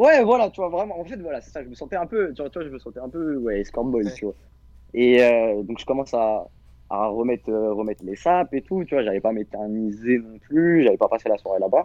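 Speaking at a fairly quick pace, a man of medium pitch makes very wide pitch swings and big swings in loudness. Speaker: caller. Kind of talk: casual chat.

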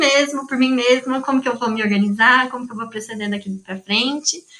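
A woman speaks at a fairly quick pace in a raised, projected, high voice with ordinary pitch variation. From São Carlos, Brazil. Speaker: psychology graduate, study-support volunteer. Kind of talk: casual interview chat.

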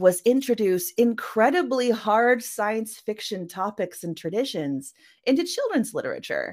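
On a very clean recording with a silent background, a woman with a plain, everyday voice speaks at a fairly slow pace with lively intonation. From Canada. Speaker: science fiction author. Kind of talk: interview.

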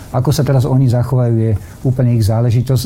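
A man talks very fast at a medium pitch while noticeable background noise plays behind him. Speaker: politician, former defence minister. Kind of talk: political interview.

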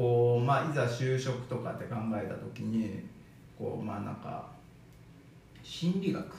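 Amid noticeable background noise and audible room echo, a man of medium pitch speaks at a fairly slow pace with ordinary pitch variation and long, frequent pauses. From Okayama, Japan. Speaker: bodywork practitioner, former trainer. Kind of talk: casual chat.

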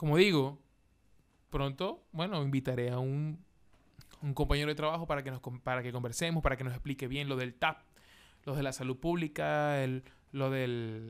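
Pausing long and often, a man talks at a moderate pace in a fairly high pitch with fairly even intonation. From Venezuela, Maracaibo. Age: 20s. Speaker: podcast host, comedian. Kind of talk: casual monologue.

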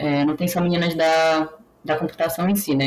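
The intonation stays fairly even, with noticeable background noise behind the voice. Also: woman. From Brazil, Pará (Belém). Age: 20s. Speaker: biotechnologist working in bioinformatics. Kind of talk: casual interview.

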